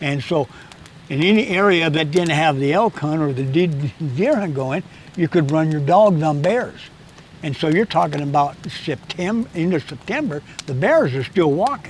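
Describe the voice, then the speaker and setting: With noticeable background noise behind him, a man with an American accent talks at a moderate pace, his fairly high pitch varying in an ordinary way. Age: 80s+. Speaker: hunting guide and instructor. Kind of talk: casual chat. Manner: halting, with repetitions and stutters.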